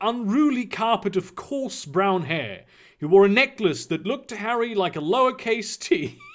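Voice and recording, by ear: A passage is read aloud. The delivery uses a natural voice.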